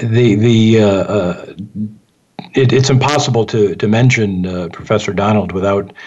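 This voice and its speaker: Someone with an American accent talks at a fairly slow pace with ordinary pitch variation. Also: man. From Michigan, Detroit. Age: 60s. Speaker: radio host. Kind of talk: radio interview. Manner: halting, many fillers.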